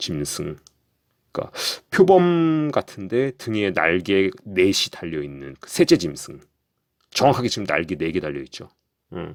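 Fairly slow speech with long, frequent pauses, very wide pitch swings and big swings in loudness, in a very clean recording with a silent background. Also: man, very deep, low pitch for a man. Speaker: conspiracy commentary youtuber. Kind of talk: casual monologue narration over images. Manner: halting, many fillers.

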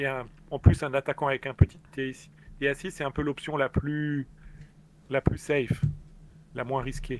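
At a moderate pace, a man talks in a fairly high, monotone, flat voice with long, frequent pauses and big swings in loudness, the sound dry and close with no echo. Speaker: experienced online game player. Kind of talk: casual live stream chat. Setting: live online stream, remote call.

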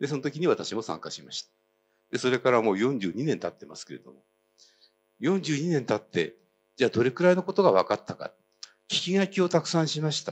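Talking at a fairly quick pace with vocal fry, a man swings his pitch very widely and his loudness a lot, over light background noise. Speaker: citizen historian, activist; speaker. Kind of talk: speech. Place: hall. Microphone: handheld.

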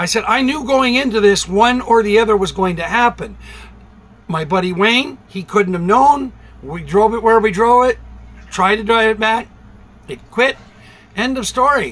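Ordinary pitch variation marks the speech. It moves along at a moderate pace. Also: man. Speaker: vlogger. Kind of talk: casual vlog chat. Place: home room. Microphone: phone near.

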